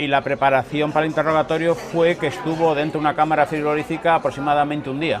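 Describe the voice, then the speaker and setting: Amid crowd noise and audible room echo, a man talks with a fairly high pitch. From Cuba. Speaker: political refugee. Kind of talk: interview.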